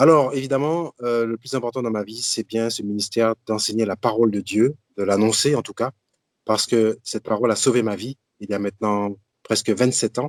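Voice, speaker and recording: A man speaks at a moderate pace with a medium pitch, fairly even intonation and an unremarkable speaking voice, the sound dry and close with no echo. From Martinique. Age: 60s. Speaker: deacon and Bible teacher. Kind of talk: religious teaching talk.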